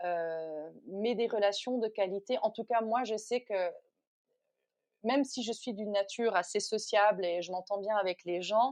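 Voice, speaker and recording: Her delivery is fairly slow. A woman's fairly high pitch shows ordinary variation. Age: 40s. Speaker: yoga teacher. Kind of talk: interview. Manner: halting.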